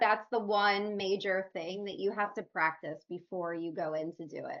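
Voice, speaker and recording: A woman talks at a moderate pace with a Philadelphia accent. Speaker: recruiting webinar co-host. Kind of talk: casual panel video call.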